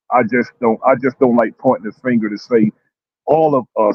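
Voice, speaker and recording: A man at a medium pitch speaks at a moderate pace in an ordinary speaking voice. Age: 50s. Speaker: panelist. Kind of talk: heated debate.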